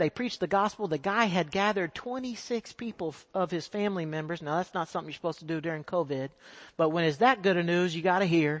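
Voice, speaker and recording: Ordinary pitch variation in a Texan accent. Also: man. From Texas. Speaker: missionary. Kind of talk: sermon. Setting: church.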